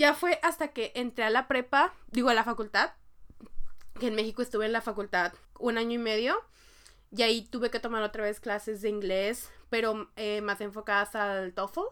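A woman's fairly high, a plain, everyday voice with ordinary pitch variation, in a very clean recording with a silent background. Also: moderate pace. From Mexico. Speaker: podcast co-host. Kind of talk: casual chat.

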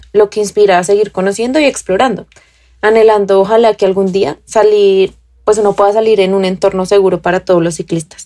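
Speaking at a fairly quick pace, a woman with a dark, mellow tone keeps a medium pitch and fairly even intonation. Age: 20s. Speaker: urban cyclist. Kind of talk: recorded testimony.

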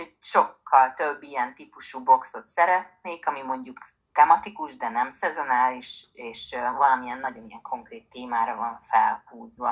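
Speaking at a moderate pace, a woman with a very deep, low pitch shows ordinary pitch variation and big swings in loudness. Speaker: small business founder. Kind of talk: interview.

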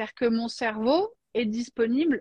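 A woman speaks at a moderate pace in a plain, everyday voice. Her pitch is fairly high and her intonation lively. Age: 40s. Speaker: life coach. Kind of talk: casual chat.

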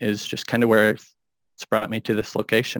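A plain, everyday voice with an American accent speaks at a fairly quick pace with fairly even intonation on a very clean recording with a silent background. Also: man. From rural Minnesota. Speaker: coffee roaster and cafe owner. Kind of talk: casual interview.

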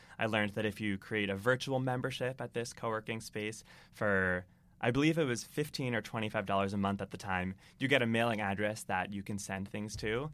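Speaking at a fairly quick pace, a man with an American accent has a plain, everyday voice, a fairly low pitch and ordinary pitch variation. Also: very clean recording, silent background. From Massachusetts, Boston area. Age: 20s. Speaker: entrepreneur. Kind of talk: interview.

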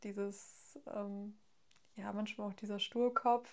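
Speaking at a very slow pace, a woman delivers her words. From Hesse, Germany (near Frankfurt). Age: 20s. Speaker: student sharing eating disorder experience. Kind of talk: casual interview, personal testimony. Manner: hesitant, many fillers.

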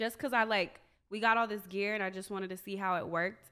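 The recording is very clean, the background silent. A woman speaks in a normal speaking voice at medium pitch, with fairly even intonation. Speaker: podcast co-host, studio owner.

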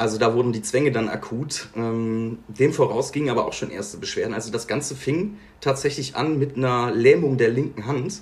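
A somewhat breathy, medium-pitched male voice at a moderate pace with hardly any pauses. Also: ordinary pitch variation. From Bergisches Land, western Germany. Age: 20s. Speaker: podcast guest sharing mental health story. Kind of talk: personal testimony in interview.

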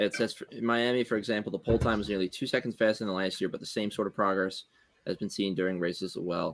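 A man with a Philadelphia accent talks at a very fast pace, using a fairly low pitch and fairly even intonation. The sound is dry and close with no echo, in a very clean recording with a silent background. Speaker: podcast co-host. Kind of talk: casual chat.

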